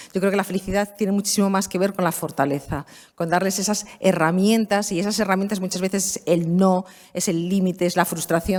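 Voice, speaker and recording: Using an ordinary speaking voice, a woman talks fairly quickly at a medium pitch, keeping her intonation fairly even. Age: 50s. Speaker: law professor. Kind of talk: conference talk. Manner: conversational.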